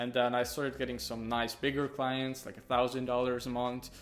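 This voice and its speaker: Speaking at a moderate pace, a man with a Hungarian accent has a medium pitch. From Hungary. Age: young. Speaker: young entrepreneur, video editor. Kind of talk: casual interview. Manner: hesitant, many fillers.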